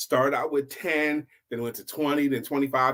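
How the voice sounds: This man's voice sits at a medium pitch with a fairly bright tone. He speaks at a fairly quick pace.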